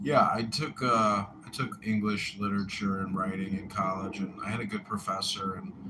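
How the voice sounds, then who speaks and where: Noticeable background noise accompanies a man at a moderate pace. His voice is fairly low with ordinary pitch variation. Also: hardly any pauses. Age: 40s. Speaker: mayoral candidate and show host. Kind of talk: casual chat.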